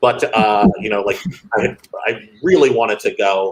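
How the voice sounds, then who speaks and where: A man with a West Coast accent at a moderate pace. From Los Angeles, California. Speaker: education nonprofit director. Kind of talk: interview conversation. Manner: casual, filler-heavy.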